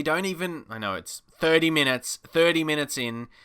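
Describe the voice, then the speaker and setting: A man's fairly high voice with a bright, sharp tone and lively intonation, at a moderate pace, on a very clean recording with a silent background. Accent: Australian. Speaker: gaming YouTuber. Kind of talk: gameplay commentary. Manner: animated.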